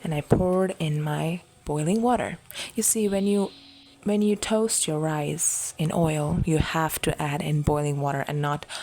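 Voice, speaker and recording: Soft-spoken and calm in tone, a woman talks at a fairly slow pace with ordinary pitch variation. Her pitch is very deep and low, and there is noticeable background noise. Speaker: relaxation podcast host. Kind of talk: sleep talk. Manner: soft-spoken, calm.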